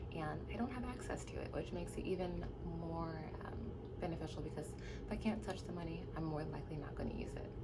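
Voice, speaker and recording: With noticeable background noise and audible room echo, a woman with an American accent speaks at a very fast pace. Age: 20s. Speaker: nurse. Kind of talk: tutorial. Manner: casual.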